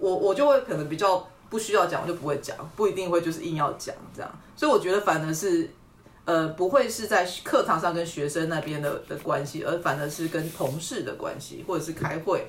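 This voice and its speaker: A woman's fairly low-pitched voice with lively intonation, against noticeable background noise. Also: fairly quick pace. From Taiwan, Tainan County. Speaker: university lecturer in urban planning. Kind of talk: interview.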